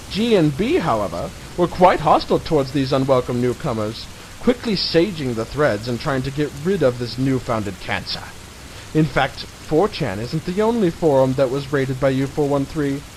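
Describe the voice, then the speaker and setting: Over noticeable background noise, a man with a fairly high pitch speaks in a dramatic tone with lively intonation. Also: moderate pace. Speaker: reader of an online article, channel owner. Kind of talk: dramatic reading of a mocking web article. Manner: mock-dramatic, sarcastic.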